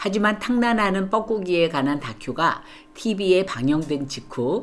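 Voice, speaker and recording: A woman's pitch swings very widely. Her speed is fairly slow. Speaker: retired nursing professor. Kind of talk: scripted narration.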